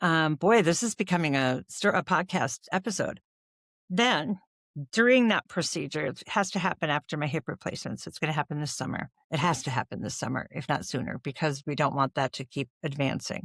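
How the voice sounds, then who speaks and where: In a plain, everyday voice, a woman with an American accent speaks at a moderate pace, her pitch fairly low and her intonation lively. The recording is very clean, with a silent background and a dry, close sound with no echo. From Wisconsin. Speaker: voice actor. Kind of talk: casual talk to camera, podcast-style health update.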